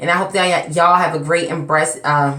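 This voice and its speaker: A woman's fairly low, monotone, flat voice at a fairly quick pace, with noticeable background noise and audible room echo. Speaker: hair care vlogger. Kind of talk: casual vlog talk. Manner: slightly slurred, tongue-tied.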